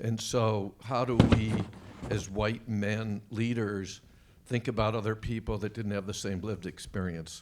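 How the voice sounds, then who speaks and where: This man's voice sits fairly low and moves at a fairly slow pace. His intonation is monotone and flat. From US Northeast (Rochester, New York). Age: 70s. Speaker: business executive. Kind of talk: panel discussion. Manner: conversational, halting.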